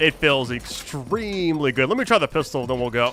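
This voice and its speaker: A man speaks fairly quickly, his pitch varying in an ordinary way, while noticeable background noise carries on behind him. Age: 30s. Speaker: gameplay streamer. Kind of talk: let's play commentary. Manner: casual, relaxed.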